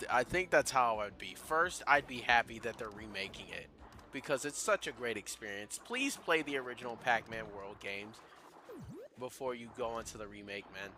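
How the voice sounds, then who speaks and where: Talking at a moderate pace, a man uses a medium pitch with ordinary variation and a bright, sharp tone. His loudness swings widely. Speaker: gaming YouTuber. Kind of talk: let's play commentary. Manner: animated; stuttering, repetitive.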